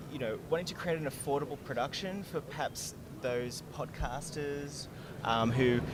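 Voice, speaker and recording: A man with an Australian accent at a moderate pace, with audible room echo and noticeable background noise. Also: fairly high pitch for a man, ordinary pitch variation. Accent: mild Australian. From Australia, Gold Coast, Queensland. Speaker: software company representative. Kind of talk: trade show interview. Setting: trade show floor.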